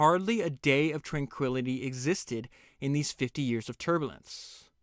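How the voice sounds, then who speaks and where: Delivered at a moderate pace, this is a normal speaking voice with a dry, close sound and no echo. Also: man. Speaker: podcast host summarizing books. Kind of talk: book summary with read-aloud excerpts and commentary. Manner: casual, conversational with filler words.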